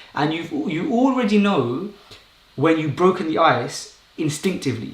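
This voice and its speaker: A man speaks with lively intonation. Noticeable background noise and audible room echo are present. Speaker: YouTuber and public speaker. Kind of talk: live stream talk. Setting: live stream. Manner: fast; casual, unscripted.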